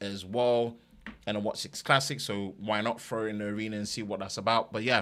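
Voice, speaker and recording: In an East London accent, a man with a bright, sharp tone and fairly low pitch speaks with fairly even intonation on a very clean recording with a silent background. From East London, England. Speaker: tech YouTuber. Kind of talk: live stream chat.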